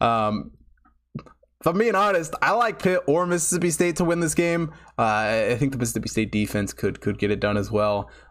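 Fairly quick male speech, fairly high in pitch, with very wide pitch swings. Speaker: sports betting show host. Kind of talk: live stream sports analysis. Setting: live stream from home studio. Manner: casual, many filler ums.

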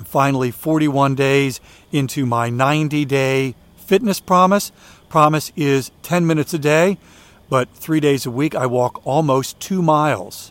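A man speaks in an unremarkable speaking voice. His pitch sits fairly high, and his pace is moderate. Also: ordinary pitch variation. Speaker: walking podcast host. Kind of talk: solo podcast monologue with ad reads.

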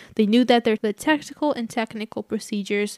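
A woman speaks with a Portuguese accent and a fairly high pitch. The sound is dry and close, with no echo. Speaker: true crime podcast co-host. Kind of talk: casual chat.

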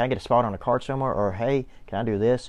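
A man's very fast delivery with fairly even intonation. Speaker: wrestling podcast co-host, former referee. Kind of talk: casual podcast chat with swearing. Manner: fast talker.

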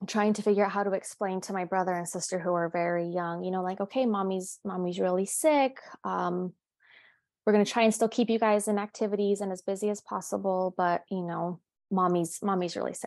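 Against a quiet background, a woman uses a plain, everyday voice of medium pitch, moving at a fairly quick pace with fairly even intonation. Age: 30s. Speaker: bereaved daughter sharing her story. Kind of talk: personal testimony. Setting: video call.

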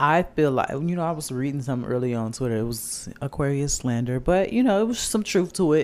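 In a normal speaking voice, a man talks at a fairly quick pace with hardly any pauses, his fairly high pitch carrying lively intonation. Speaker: podcast host. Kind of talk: casual chat. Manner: playful, bantering.

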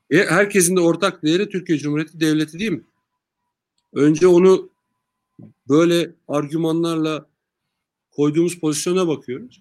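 The speaker keeps a moderate pace with fairly even intonation. Long pauses come frequently. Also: man, high pitch for a man. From Turkey, Sakarya. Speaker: party official and businessman. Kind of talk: interview. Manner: calm.

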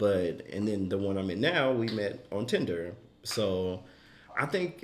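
Lively intonation marks a plain, everyday voice delivered at a fairly slow pace. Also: man. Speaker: podcast host. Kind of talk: casual chat.

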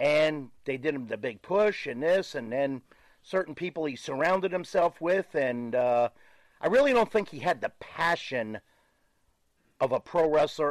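In a plain, everyday voice, a man speaks at a moderate pace with a fairly high pitch and lively intonation, the sound dry and close with no echo against a quiet background. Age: 60s. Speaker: professional wrestler. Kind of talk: casual interview.

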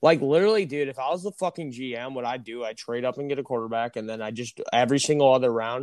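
Speaking very fast in an American accent, a man of medium pitch shows ordinary pitch variation, recorded dry and close with no echo against a quiet background. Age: young. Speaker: sports podcast host. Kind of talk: casual chat. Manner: animated.

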